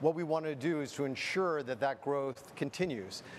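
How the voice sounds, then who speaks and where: A man with a Canadian accent speaks at a moderate pace in a fairly high voice with ordinary pitch variation, over light background noise. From Canada. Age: 50s. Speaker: board chair and moderator; moderator. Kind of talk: opening speech and fireside chat moderation.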